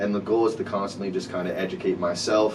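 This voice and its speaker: With audible room echo and noticeable background noise, a man talks at a fairly low pitch. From Rhode Island, Providence. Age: 20s. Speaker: artist, producer and CBD business owner. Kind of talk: podcast interview.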